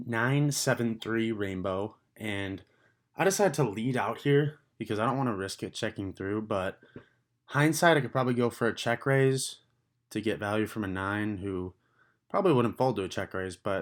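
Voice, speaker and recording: A man talks at a medium pitch with ordinary pitch variation, a plain, everyday voice. The recording is very clean, with a silent background. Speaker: poker vlogger. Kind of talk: voiceover commentary on hands.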